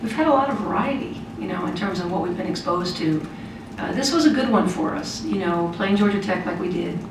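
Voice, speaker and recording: There is audible room echo and noticeable background noise. Over it, a woman talks at a fairly quick pace. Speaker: head coach. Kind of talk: interview answer. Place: meeting room.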